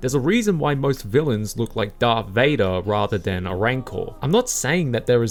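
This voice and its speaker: A man talks fairly quickly at a medium pitch with an Australian accent. Noticeable background noise is present. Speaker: video essayist. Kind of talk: scripted narration.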